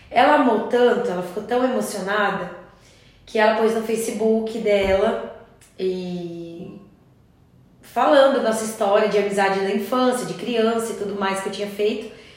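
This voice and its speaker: A woman talks at a moderate pace with fairly even intonation and a fairly high pitch. Audible room echo and noticeable background noise surround her voice. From Curitiba, Brazil. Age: 30s. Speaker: crochet teacher. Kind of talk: casual chat.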